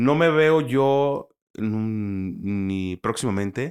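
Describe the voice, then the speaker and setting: A man with lively intonation speaks in a very clean recording with a silent background. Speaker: sports commentator. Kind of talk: casual chat.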